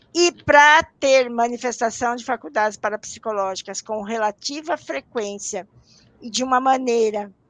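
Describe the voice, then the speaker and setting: A woman with a plain, everyday voice talks at a fairly slow pace, her fairly high pitch showing ordinary variation. Her loudness swings widely, and the sound is dry and close with no echo. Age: 60s. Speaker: parapsychology professor and researcher. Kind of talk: interview on a live stream. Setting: live online broadcast.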